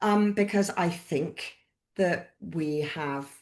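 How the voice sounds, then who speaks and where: A woman speaks with a British accent and fairly even intonation. The background is quiet. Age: 60s. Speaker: author and midwife. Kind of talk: interview. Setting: live-streamed video call. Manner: conversational, hesitant with fillers.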